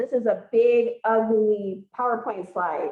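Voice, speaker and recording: Loud and fairly high-pitched, a woman's voice swings very widely in pitch. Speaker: pre-health advisor. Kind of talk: group advising meeting. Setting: gym with audience and Zoom.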